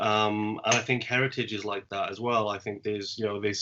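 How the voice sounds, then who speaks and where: In a fairly low pitch, a man talks with monotone, flat intonation. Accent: South Welsh. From Wales. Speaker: poet and podcast host. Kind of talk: casual chat.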